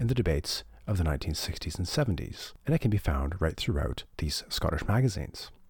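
A man with a very deep, low pitch speaks with vocal fry and very wide pitch swings. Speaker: academic researcher and podcast host. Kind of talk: scripted narration.

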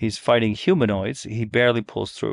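A man speaks in an unremarkable speaking voice at medium pitch and a moderate pace. The sound is dry and close with no echo, over a quiet background. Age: 50s. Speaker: gaming blogger. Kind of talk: casual chat.

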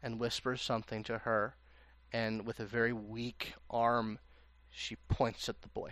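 The reading aloud is done in a natural voice.

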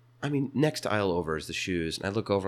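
In a very clean recording with a silent background, a man with an American accent and a plain, everyday voice talks fairly quickly at a fairly low pitch. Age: 20s. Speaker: small business owner. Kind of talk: casual chat. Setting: company bathroom.

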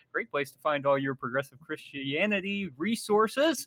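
This man has a raised, projected voice with a bright, sharp tone and a high pitch, speaking at a moderate pace in a very clean, dry, close recording with a silent background and no echo. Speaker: podcast host. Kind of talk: casual chat.

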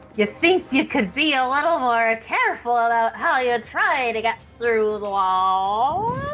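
A woman speaks in a put-on character voice, pitched high. Her pace is fairly slow, with clear background noise. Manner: sarcastic.

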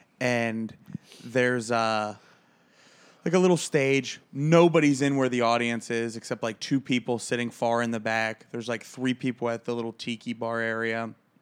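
At a medium pitch and moderate pace, a man with an ordinary speaking voice keeps his intonation fairly even. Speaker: podcast co-host, comedian. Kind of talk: casual chat.

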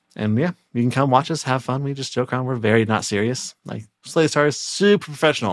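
In an ordinary speaking voice, a man talks at a fairly quick pace with hardly any pauses, his pitch medium and its variation ordinary. The recording is very clean, with a silent background. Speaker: moderator and tabletop game master. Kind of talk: casual chat.

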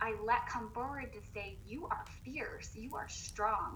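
Noticeable background noise and audible room echo accompany a woman speaking at a fairly slow pace. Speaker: personal development coach with a doctorate. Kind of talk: casual interview chat. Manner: animated, excited.

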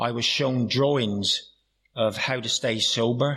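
A man's medium-pitched voice with a West Country accent, at a fairly slow pace and in fairly even intonation. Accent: Plymouth (Janner) West Country. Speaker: AA meeting speaker. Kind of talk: recovery talk with humor. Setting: AA meeting with audience.

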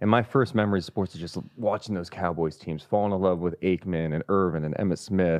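A man's very deep, low voice with a Californian accent, at a fairly quick pace with hardly any pauses and ordinary pitch variation. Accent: Californian American. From Sacramento area, California. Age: 30s. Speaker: sports broadcaster. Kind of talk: casual interview chat. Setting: studio.

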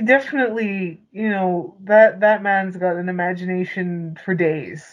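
A woman speaks at a fairly slow pace with a Canadian accent, in a plain, everyday voice. Her pitch is medium, with ordinary pitch variation. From Canada. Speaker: podcast co-host. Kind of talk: casual chat.

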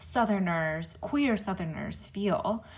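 Somewhat breathy woman's voice at a medium pitch, very slow pace and ordinary pitch variation. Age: 30s. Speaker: podcast co-host and interviewer. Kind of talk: casual interview chat.

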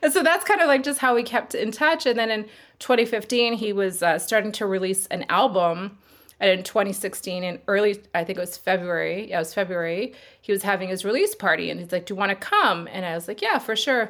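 Speaking with a Canadian accent in a plain, everyday voice, this talker moves at a fairly quick pace with ordinary pitch variation. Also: woman, medium pitch for a woman. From Canada, Sherwood Park near Edmonton, Alberta. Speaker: multidisciplinary artist and body painter. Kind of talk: casual interview chat.

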